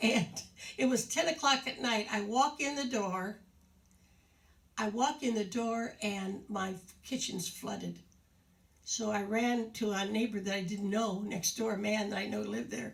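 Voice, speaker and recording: A woman with a fairly high pitch, a warm tone and vocal fry talks with long, frequent pauses. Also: ordinary pitch variation. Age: 80s+. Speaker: retirement community show host. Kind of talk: casual talk to residents on video. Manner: halting, with many fillers; warm and chatty.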